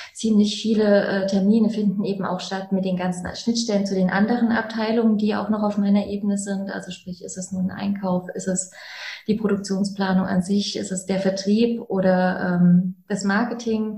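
Over noticeable background noise, a woman speaks at a moderate pace in a monotone, flat intonation. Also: medium pitch for a woman. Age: 30s. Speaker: chemical engineer and plant manager. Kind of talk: interview conversation. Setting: in-person in coaching rooms.

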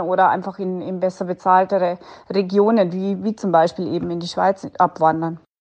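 A woman's medium-pitched, monotone, flat voice at a moderate pace against a quiet background. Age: 30s. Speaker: hotel-restaurant owner. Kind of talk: interview answer.

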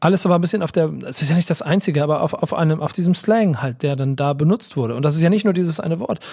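A man's high-pitched voice with a dark, mellow tone and ordinary pitch variation, at a very fast pace with hardly any pauses. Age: 40s. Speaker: podcast co-host. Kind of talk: casual chat.

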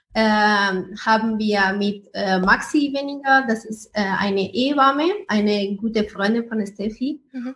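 A woman with a non-native accent speaks at a fairly high pitch with hardly any pauses. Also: ordinary pitch variation, fairly slow pace. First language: not German (speaking German). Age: 20s. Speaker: startup founder. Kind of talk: interview.

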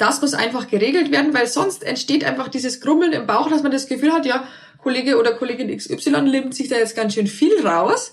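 Her pace is fairly quick. The woman's voice sits high in pitch. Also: ordinary pitch variation. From Bavaria, near Passau. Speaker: remote work consultant, founder. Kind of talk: interview. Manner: hesitant, many fillers.

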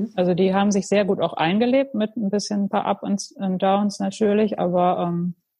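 Somewhat breathy, this woman's voice comes through. Its tone is dark and mellow. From Münsterland, Germany. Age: 40s. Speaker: pottery studio owner. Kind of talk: casual interview. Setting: online call. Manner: hesitant, many fillers.

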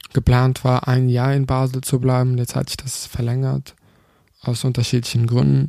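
A man speaks with a non-native accent. His intonation is monotone and flat. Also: medium pitch for a man, moderate pace. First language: not German (speaking German). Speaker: podcast host. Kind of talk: casual monologue. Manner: halting.

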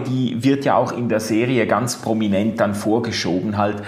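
The room echo is audible as a man speaks. Noticeable background noise is also heard. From Switzerland, Basel. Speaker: podcast host. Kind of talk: casual chat. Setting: video call.

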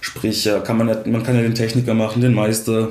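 Noticeable background noise fills the recording. A man talks, and audible room echo follows his voice. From Swabia, Germany (Swabian Alb). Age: 20s. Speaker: engineering student. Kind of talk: casual interview. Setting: in-person, sitting across from host.

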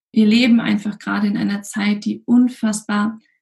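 Her tone dark and mellow and somewhat breathy, a woman speaks at a medium pitch and a moderate pace. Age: 30s. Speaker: physician and health coach. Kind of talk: interview.

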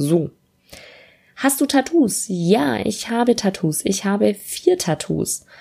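Very slowly and with long, frequent pauses, a woman speaks in a dark, mellow tone with vocal fry and very wide pitch swings. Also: medium pitch for a woman. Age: 20s. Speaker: podcast host, student and freelance copywriter. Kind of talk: solo casual podcast monologue. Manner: casual with many filler sounds.

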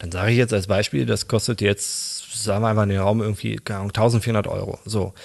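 A man talks with vocal fry at a fairly low pitch and hardly any pauses. His intonation stays fairly even. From Berlin, later Dutch border region. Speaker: freelance 3D artist. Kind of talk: interview, casual chat. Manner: hesitant, many fillers.

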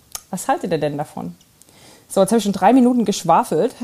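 A woman's medium-pitched voice has a dark, mellow tone and comes across somewhat breathy. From East Germany. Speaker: listener sending voice message. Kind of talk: recorded voice message.

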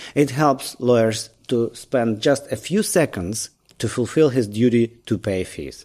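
In a Ukrainian accent, the speaker uses a dark, mellow tone. The pace is fairly slow. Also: man. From Ukraine. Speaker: lawyer, bar association leader. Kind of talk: interview.

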